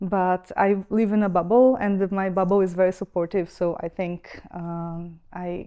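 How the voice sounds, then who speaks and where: A woman talks fairly slowly with a Brazilian accent and hardly any pauses. Her medium-pitched voice has a dark, mellow tone and monotone, flat intonation. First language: Brazilian Portuguese. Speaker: expat centre staff member. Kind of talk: podcast interview. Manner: hesitant, many fillers.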